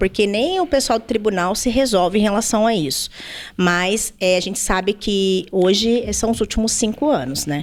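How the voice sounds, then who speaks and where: A woman speaks with a fairly high pitch. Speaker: labor lawyer. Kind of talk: podcast interview. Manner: fast.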